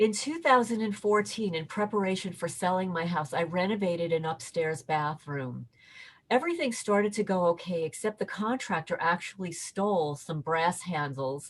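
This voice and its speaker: Over a quiet background, a woman of medium pitch speaks at a moderate pace, somewhat breathy and with lively intonation. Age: 60s. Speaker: interviewee reporting harassment. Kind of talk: interview testimony. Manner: halting, repeats words.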